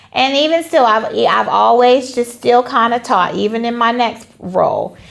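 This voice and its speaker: A woman with an American accent speaks at a moderate pace in a high voice with ordinary pitch variation, over noticeable background noise. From Charlotte, North Carolina. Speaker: line dance instructor and teacher. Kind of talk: interview.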